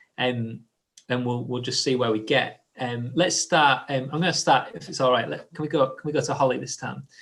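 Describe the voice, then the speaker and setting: Fairly quick male speech with vocal fry, medium pitch and ordinary pitch variation. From northern England, Hull. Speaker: church leader hosting discussion. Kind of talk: live group discussion. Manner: halting, many fillers and restarts.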